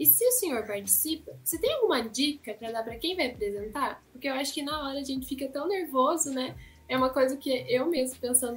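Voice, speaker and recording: A woman's high voice with lively intonation, at a fairly quick pace with hardly any pauses. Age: young. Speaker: student interviewer. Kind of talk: interview.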